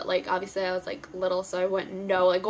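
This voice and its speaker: Against noticeable background noise, a woman of medium pitch speaks in an American accent. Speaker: beauty vlogger. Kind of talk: casual vlog. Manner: fast.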